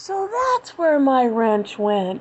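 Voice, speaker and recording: A woman's put-on character voice, high-pitched, with very wide swings in pitch. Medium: read story.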